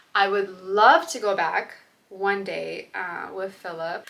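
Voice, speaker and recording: A woman with an American accent speaks at a medium pitch with fairly even intonation over noticeable background noise. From Russia, moved to US at eight. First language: Russian. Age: 20s. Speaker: lifestyle vlogger and bridal shop owner. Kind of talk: casual Q&A vlog.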